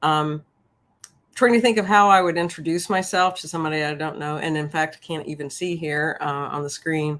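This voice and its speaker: A woman with an American accent, very deep and low-pitched, at a fairly quick pace, with ordinary pitch variation and big swings in loudness, on a very clean recording with a silent background. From US South, Memphis, Tennessee. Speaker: professor. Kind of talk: interview.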